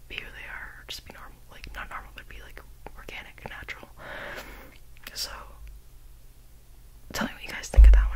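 A woman whispers at a very fast pace, broken by long, frequent pauses. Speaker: ASMR creator. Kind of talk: ASMR quote reading. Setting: studio, close to binaural microphone. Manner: whispered, close-mic. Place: home room. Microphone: studio mic.

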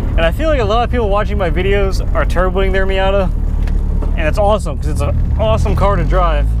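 The recording is dry with no echo, but noticeable background noise comes through. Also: man. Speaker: car owner vlogger. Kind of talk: casual vlog chat. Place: car. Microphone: lapel.

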